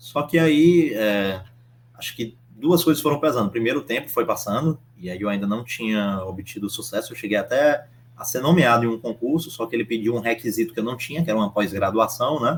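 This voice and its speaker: At a fairly quick pace, a man with a medium pitch speaks with lively intonation. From Brazil, Northeast (Piauí). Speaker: approved civil service exam candidate, civil engineer. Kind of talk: interview. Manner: halting.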